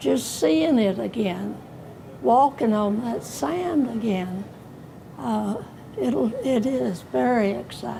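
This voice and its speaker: A woman at a very slow pace with very wide pitch swings, against noticeable background noise. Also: medium pitch for a woman. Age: 80s+. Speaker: WWII veteran, former army nurse. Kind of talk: interview answer.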